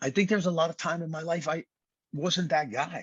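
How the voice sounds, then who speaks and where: A man with a New York accent talks in a fairly high voice. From Brooklyn, New York. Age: 60s. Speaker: fitness trainer and author. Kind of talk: podcast interview.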